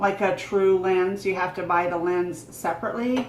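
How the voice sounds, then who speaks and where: Over noticeable background noise and audible room echo, a woman speaks at a moderate pace in an animated tone. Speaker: vlogger. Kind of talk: casual vlog. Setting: at a table at home. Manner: loud.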